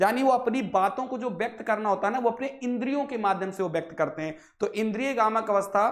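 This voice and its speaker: The man talks with ordinary pitch variation at a moderate pace, and audible room echo hangs around him. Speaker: online exam-prep teacher. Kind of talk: lecture.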